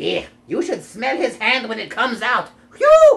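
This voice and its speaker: A cartoonish character voice sounds female and sits at a fairly high pitch. It moves along at a moderate pace. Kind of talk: comic overacting. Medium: puppet show. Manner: cheeky, wisecracking.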